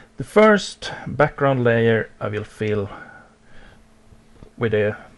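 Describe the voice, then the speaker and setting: Speaking at a very slow pace, a man keeps his pitch fairly low. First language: not English. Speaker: digital art tutorial creator. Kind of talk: tutorial. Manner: halting, many fillers.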